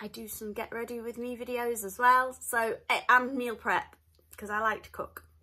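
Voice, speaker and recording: With a northern English accent, a woman talks at a moderate pace in a high-pitched, bright, sharp tone. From northern England. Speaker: vlogger. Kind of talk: casual vlog chat.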